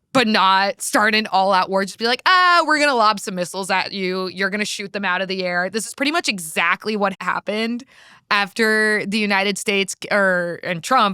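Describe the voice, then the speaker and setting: A woman with an American accent and a medium pitch sounds animated, with a bright, sharp tone and ordinary pitch variation, talking at a moderate pace with hardly any pauses on a very clean, dry, close recording with a silent background and no echo. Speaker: political podcast co-host. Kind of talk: casual chat.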